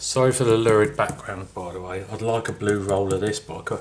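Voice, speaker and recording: Over noticeable background noise, a man talks very fast in a fairly low voice. His loudness swings widely. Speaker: scale model builder. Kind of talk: tutorial. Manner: mumbling.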